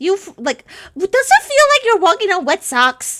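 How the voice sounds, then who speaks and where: A woman performs a squeaky, put-on character voice at an extremely high pitch, swinging very widely in pitch at a moderate pace. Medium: actual play. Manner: polite, measured, formal.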